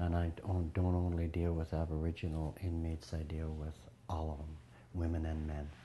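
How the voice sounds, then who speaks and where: A man talks at a moderate pace in a very deep, low voice that is somewhat breathy, with a dark, mellow tone and monotone, flat intonation. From Canada, British Columbia, Prince George. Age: 60s. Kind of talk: interview. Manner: halting, with fillers.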